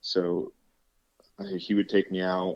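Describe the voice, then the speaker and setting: A man talks at a fairly slow pace with a central Pennsylvania accent. His pitch is very deep and low, and his intonation is monotone and flat. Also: dry, close sound with no echo, quiet background. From central Pennsylvania, Clearfield County. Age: 30s. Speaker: state trooper and turkey call maker. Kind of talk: casual chat. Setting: studio.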